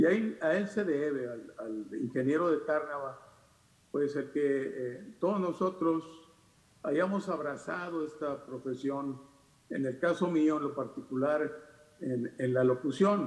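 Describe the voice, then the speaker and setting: Audible room echo surrounds a man speaking at a fairly slow pace, his fairly high pitch showing ordinary variation. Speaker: radio announcer. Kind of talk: panel discussion talk. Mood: nostalgic, respectful. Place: home room. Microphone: webcam.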